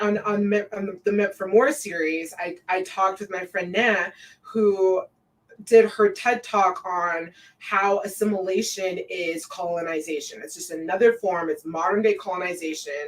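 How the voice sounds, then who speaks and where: Using a normal speaking voice, a woman talks at medium pitch and a moderate pace, with ordinary pitch variation and big swings in loudness. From Colorado, US. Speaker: podcast host. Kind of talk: casual chat.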